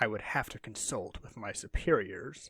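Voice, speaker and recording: This voice belongs to a man. It is a put-on character voice. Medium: read story. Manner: proud, shrewd.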